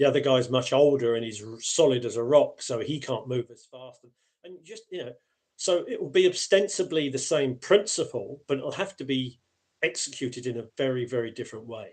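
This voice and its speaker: A man with an unremarkable speaking voice at medium pitch, fairly quick pace, lively intonation and big swings in loudness. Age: 60s. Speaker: aikido instructor. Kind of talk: casual chat. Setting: live stream.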